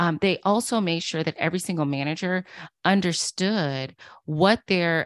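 A woman with an unremarkable speaking voice, fairly low-pitched, lively in intonation and moderate in pace, in a very clean recording with a silent background and a dry, close sound with no echo. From US South, Durham, North Carolina. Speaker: author and diversity consultant. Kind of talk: interview.

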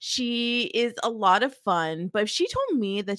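At a medium pitch and a fairly slow pace, a woman talks in a normal speaking voice with lively intonation. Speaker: podcast co-host. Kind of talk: casual chat. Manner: chatty, upbeat, interrupts.

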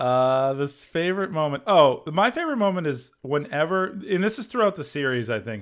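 With an American accent, a man with a fairly high pitch talks at a moderate pace, using very wide pitch swings and hardly any pauses. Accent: Boston accent, coming back. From Massachusetts. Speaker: comedy video creator. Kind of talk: casual chat. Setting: video call.

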